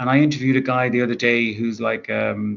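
A man with an Irish accent. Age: 30s. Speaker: author. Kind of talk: interview.

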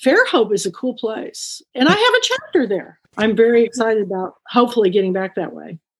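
A Texan accent at a fairly quick pace, with hardly any pauses. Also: woman. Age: 60s. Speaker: bookstore owner and book club founder. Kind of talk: interview. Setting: video call.

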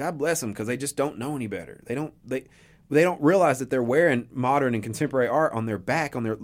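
A man with an Appalachian accent, fairly high in pitch, with ordinary pitch variation. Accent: Appalachian Southern US. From East Tennessee (Johnson City). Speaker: local artist. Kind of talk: radio interview. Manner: animated.

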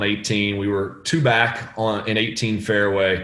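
A voice with an American accent comes through with audible room echo. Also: man. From northeast Florida, US. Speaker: golf caddie. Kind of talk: casual chat.

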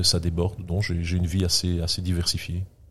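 A man with a very deep, low pitch. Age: 50s. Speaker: entrepreneur. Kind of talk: interview. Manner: halting.

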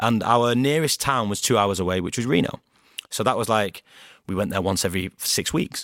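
A man with a Greater Manchester accent speaks at a fairly quick pace, the sound dry and close with no echo and the recording very clean, its background silent. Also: fairly low pitch for a man, ordinary pitch variation. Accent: Greater Manchester (Bolton), northern English. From Bolton, Greater Manchester. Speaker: founder of a storytelling podcast, fundraiser and former footballer. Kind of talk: casual interview chat.

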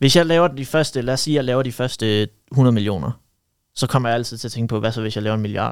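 A man at a medium pitch and a very fast pace with ordinary pitch variation, on a very clean recording with a silent background. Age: 20s. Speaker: young entrepreneur, marketing agency owner. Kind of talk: casual chat.

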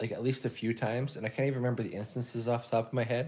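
A man speaks with fairly even intonation on a very clean recording with a silent background. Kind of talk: casual chat. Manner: casual, swears.

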